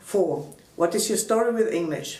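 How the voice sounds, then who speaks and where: Audible room echo and noticeable background noise surround a woman with a German accent who talks at a moderate pace with ordinary pitch variation. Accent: German (Franconian) accent in English. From Upper Franconia, Germany. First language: Franconian German. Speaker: language activist and translator. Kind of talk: reading aloud written interview answers.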